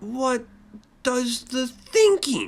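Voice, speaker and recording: A put-on character voice at a fairly high pitch. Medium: read story. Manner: incredulous, disdainful.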